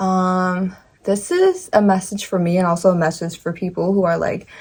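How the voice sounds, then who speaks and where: A woman talks at a medium pitch. She keeps a moderate pace. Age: 20s. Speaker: lifestyle vlogger. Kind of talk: casual talk to camera. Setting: home, in front of bookshelf. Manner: halting, many fillers and restarts.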